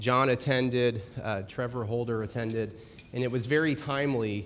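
His pitch rises and falls in an ordinary way. The man keeps a moderate pace. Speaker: presenter. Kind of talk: presentation talk. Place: hall.

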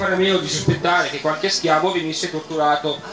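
A man speaks at a very fast pace. Loud background noise and audible room echo surround him. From Bergamo, Italy. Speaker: event closing speaker. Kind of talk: reading a quotation aloud. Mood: grave, moralizing. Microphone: camera far.

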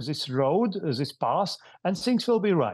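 Against a quiet background, a man talks in a high pitch with very wide pitch swings. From Latvia. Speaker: former government minister, defense policy expert. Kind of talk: news interview. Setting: remote video link. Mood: serious, measured. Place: home room. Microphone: earbuds.

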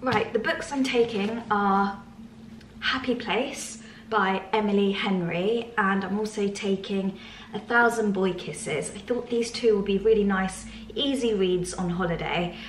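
A woman with a medium-pitched voice speaks at a fairly slow pace, with light background noise and audible echo in the room. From England. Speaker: lifestyle vlogger. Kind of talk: casual vlog. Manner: animated. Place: home room. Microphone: phone near.

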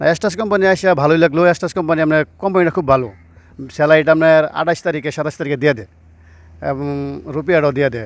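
A man with a plain, everyday voice, his pitch fairly high and varying in an ordinary way, recorded very cleanly against a silent background. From Bangladesh, Mymensingh (Bhaluka). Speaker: migrant worker, driver. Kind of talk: interview.

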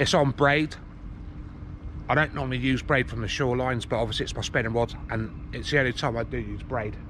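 Over light background noise, a man talks at a very fast pace with fairly even intonation in a dry sound with no echo. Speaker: fishing vlogger. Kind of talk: casual vlog chat. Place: waterside. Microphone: phone near.

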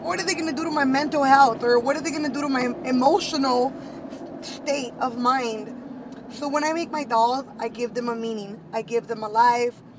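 The voice has ordinary pitch variation and a dry sound with no echo, with noticeable background noise behind it. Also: woman. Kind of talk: casual vlog chat. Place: car.

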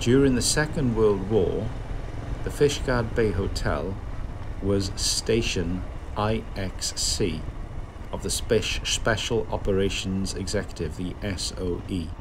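A man talks at a very slow pace with long, frequent pauses over noticeable background noise. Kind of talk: travel commentary. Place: motorbike. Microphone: helmet.

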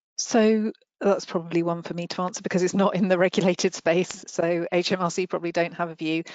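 Fairly quick speech, dry and without echo, over a quiet background. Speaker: regulatory standards head. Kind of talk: Q&A answers. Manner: halting. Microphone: headset.

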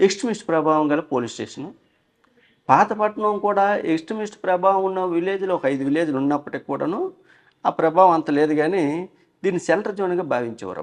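The background is quiet behind this man. His high pitch shows ordinary variation. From Vizianagaram district, north coastal Andhra Pradesh. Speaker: police inspector. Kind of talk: interview.

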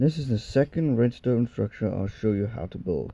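A man's dark, mellow tone. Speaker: gaming tutorial youtuber. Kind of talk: tutorial. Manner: halting.

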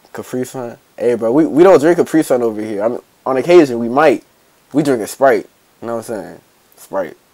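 Loudness swings widely while pitch varies in an ordinary way. The pace is fairly quick against a quiet background. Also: man. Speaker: reaction video creator. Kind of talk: casual reaction commentary. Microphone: headset.

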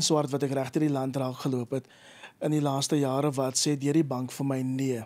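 This man's pitch is fairly high. His tone is dark and mellow. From South Africa. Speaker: agricultural initiative founder; interview guest. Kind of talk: radio interview. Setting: studio. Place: studio. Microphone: studio mic.

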